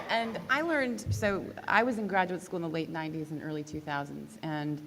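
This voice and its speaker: A woman's fairly low voice, lively in intonation, at a fairly quick pace, with audible room echo. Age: 40s. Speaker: composer and professor. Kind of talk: panel discussion. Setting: stage with audience.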